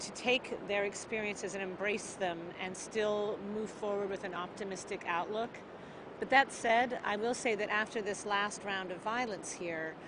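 Noticeable background noise runs under speech delivered at a moderate pace with fairly even intonation, in a dry sound with no echo. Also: woman. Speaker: aid organization worker. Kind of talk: interview answer. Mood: earnest, reflective.

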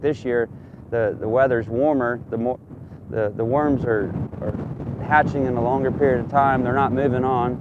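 A man with a Southern US accent talks at a moderate pace with long, frequent pauses, in a dry sound with no echo and noticeable background noise. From Oklahoma. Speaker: local agriculture agent. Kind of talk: interview.

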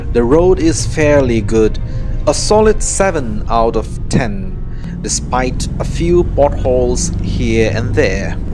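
A man delivers his words very slowly while music plays behind him. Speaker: travel vlogger narrator. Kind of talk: travel vlog narration.

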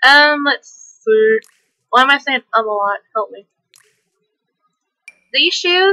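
A woman's raised, projected, high-pitched voice with a bright, sharp tone, very wide pitch swings, big swings in loudness, a very slow pace and long, frequent pauses. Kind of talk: casual gameplay commentary. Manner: hyper, energetic.

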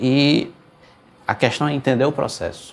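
Somewhat breathy, a man speaks over light background noise. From Pernambuco, Brazil (Garanhuns, Recife). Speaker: accordionist. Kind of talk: interview. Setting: video call. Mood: relaxed, thoughtful. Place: studio.

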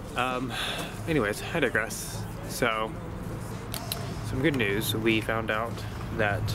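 A man speaks at a very slow pace. The sound is dry with no echo, and noticeable background noise runs behind him. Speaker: sailing vlogger. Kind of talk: casual vlog chat. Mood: relaxed, mildly relieved. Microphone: phone near.

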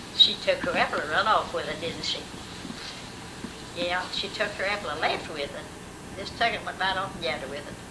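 A woman speaks at a fairly quick pace but leaves long, frequent pauses. Noticeable background noise is present. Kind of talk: casual family conversation. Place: home room. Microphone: old recording.

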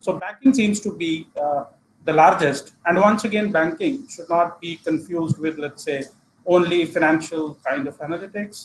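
With an Indian accent, a man speaks in a high voice with ordinary pitch variation over light background noise. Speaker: analytics consultant. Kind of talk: presentation. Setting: video call. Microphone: video call.

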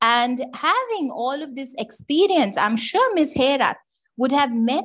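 At a fairly slow pace, a woman talks with lively intonation and a high pitch. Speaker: webinar moderator. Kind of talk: formal introduction. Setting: video call.

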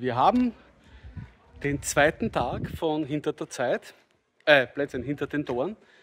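Over light background noise, a man speaks at a very slow pace with lively intonation. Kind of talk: casual vlog chat. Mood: cheerful, enthusiastic. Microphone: phone near.

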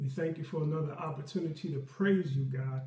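Speech with ordinary pitch variation unfolds at a moderate pace amid audible room echo. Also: man. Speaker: Sunday school teacher. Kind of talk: prayer, then class opening. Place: home room. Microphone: webcam.

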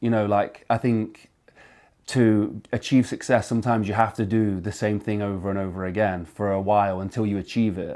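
This man speaks at a moderate pace in a fairly low pitch, his tone dark and mellow and his intonation monotone and flat. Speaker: interviewer. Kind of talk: interview.

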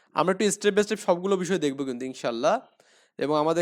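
High pitch from a man, with ordinary variation in pitch. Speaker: English tutor for primary pupils. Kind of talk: tutorial.

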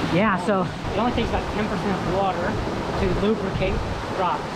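Someone talks at a fairly quick pace against loud background noise. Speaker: vlogger on a river hike. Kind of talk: casual vlog chat. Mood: excited, laughing. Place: waterside. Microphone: phone near.

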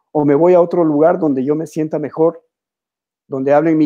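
Against a quiet background, a man with a fairly high pitch talks at a very fast pace in a dark, mellow tone with monotone, flat intonation. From Ecuador, Quito; Ecuador. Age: 60s. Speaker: painter; interviewee. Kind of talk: interview. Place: home room. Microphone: video call.

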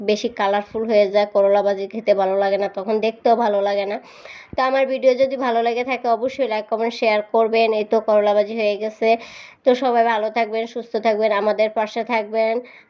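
With a flat, monotone intonation, a woman talks in a fairly high pitch. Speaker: cooking vlogger. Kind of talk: casual cooking vlog narration.

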